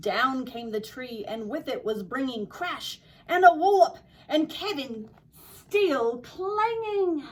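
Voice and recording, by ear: A woman speaks slowly with an Australian accent. Her pitch is high and her intonation lively. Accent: imitated Australian.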